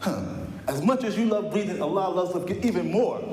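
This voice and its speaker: Over noticeable background noise and audible room echo, a man with an American accent speaks. His tone is animated and his intonation lively. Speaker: guest preacher. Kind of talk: sermon. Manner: animated, repetitive.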